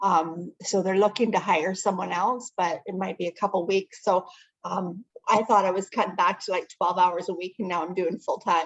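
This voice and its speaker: A woman speaks with a Canadian accent at a moderate pace. Her intonation is fairly even. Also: medium pitch for a woman. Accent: Canadian, heard in 'about'. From Ontario, Canada. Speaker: networking meeting organizer. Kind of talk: casual chat. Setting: video call.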